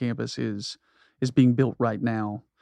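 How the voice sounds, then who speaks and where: Against a quiet background, a man speaks at a moderate pace with a dry, close sound and no echo. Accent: American. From US South (South Georgia). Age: 40s. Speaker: pastor. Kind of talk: casual chat.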